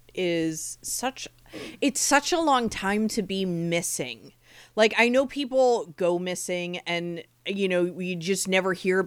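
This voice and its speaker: Lively intonation marks a woman's speech in an American accent. Her pace is very slow. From New Jersey, Monmouth County. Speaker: podcast co-host. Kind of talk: casual chat.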